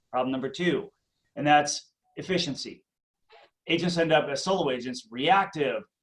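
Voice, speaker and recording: Speaking with a slight Minnesota accent, a man has a fairly high pitch. His pitch variation is ordinary. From Minnesota, Twin Cities suburbs. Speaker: real estate coach. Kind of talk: interview.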